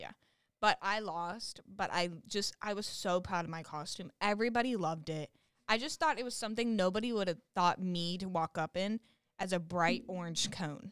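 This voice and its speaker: With an American accent, this is a normal speaking voice at a moderate pace, showing ordinary pitch variation and a dry, close sound with no echo. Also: woman, medium pitch for a woman. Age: 20s. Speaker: college student. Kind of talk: casual chat.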